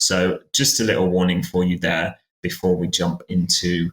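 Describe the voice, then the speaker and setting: A man with a British accent talks at a fairly slow pace. His pitch is very deep and low. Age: 20s. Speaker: podcast host. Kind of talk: podcast conversation. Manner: hesitant, many fillers.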